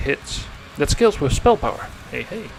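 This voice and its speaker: Music plays in the background while a man speaks. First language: not English. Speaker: game streamer. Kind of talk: gameplay livestream commentary. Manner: casual, thinking aloud.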